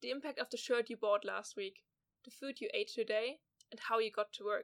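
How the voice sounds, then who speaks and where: At a fairly quick pace, a woman speaks at a high pitch, the sound dry and close with no echo. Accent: German. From southwest Germany. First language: German. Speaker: podcast host, journalism student. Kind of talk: scripted narration.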